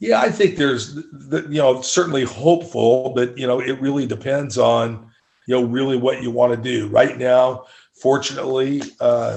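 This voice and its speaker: A man at medium pitch and moderate pace, with ordinary pitch variation, uses a plain, everyday voice. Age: 60s. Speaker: state senator. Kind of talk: interview.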